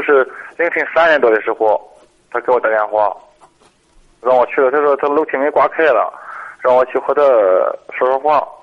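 This man speaks at a fairly quick pace, his pitch varying in an ordinary way. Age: 40s. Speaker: caller, construction worker. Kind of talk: phone-in advice call. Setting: phone call. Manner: halting.

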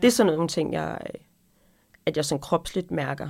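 A woman speaks with vocal fry at a fairly low pitch. Her pace is moderate. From North Jutland, Denmark. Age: 40s. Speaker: podcast co-host, restaurant owner and cookbook writer. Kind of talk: casual chat.

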